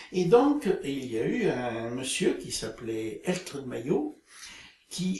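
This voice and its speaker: His intonation is lively and varied. The man's voice carries a somewhat breathy quality. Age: 70s. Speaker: retiree, group dynamics practitioner. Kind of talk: interview. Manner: halting, many hesitations.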